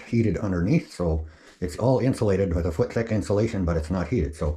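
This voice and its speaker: A man's very deep, low voice, dark and mellow in tone, somewhat breathy and mumbling, at a fairly quick pace against a quiet background. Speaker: off-grid homesteader vlogger. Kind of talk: casual DIY vlog narration. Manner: mumbling to himself.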